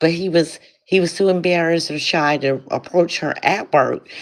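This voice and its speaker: Here is a plain, everyday voice from a woman with a fairly low pitch. She speaks at a fairly slow pace. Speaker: lifestyle content creator. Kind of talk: live stream commentary.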